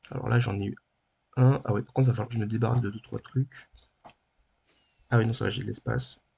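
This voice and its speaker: A soft-spoken man whispering at a very fast pace, with vocal fry, big swings in loudness, and long, frequent pauses. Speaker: gaming YouTuber. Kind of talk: let's play gaming commentary. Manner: soft-spoken, near whisper; halting.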